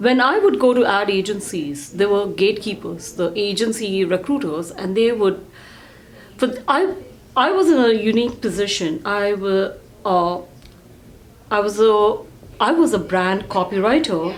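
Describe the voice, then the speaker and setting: In a room with audible echo, a woman at medium pitch speaks at a moderate pace, leaving long, frequent pauses. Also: lively intonation. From India. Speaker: real estate team CEO. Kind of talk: casual interview chat.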